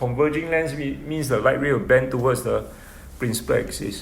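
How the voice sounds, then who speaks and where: A man speaks at a medium pitch, with audible room echo around his voice. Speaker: physics tutor. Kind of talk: lecture.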